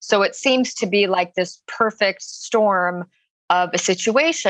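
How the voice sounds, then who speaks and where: In a quiet background with a dry, close sound and no echo, a woman with a plain, everyday voice speaks at a medium pitch with ordinary pitch variation. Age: 20s. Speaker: caller seeking advice. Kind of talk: casual chat. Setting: phone call.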